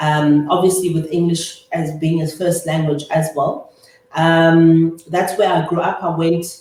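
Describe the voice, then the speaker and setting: A woman with a South African accent speaks very slowly in a fairly low pitch and a monotone, flat intonation. Audible room echo surrounds her voice. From South Africa, Eastern Cape (Humansdorp). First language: Afrikaans. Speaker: chartered accountant and business owner. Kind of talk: interview.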